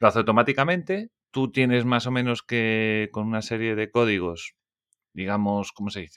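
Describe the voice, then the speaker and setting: This man has an unremarkable speaking voice at a medium pitch, with ordinary pitch variation, a moderate pace, and big swings in loudness. The recording is very clean with a silent background and has a dry, close sound with no echo. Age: 30s. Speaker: podcast host. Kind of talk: casual interview chat.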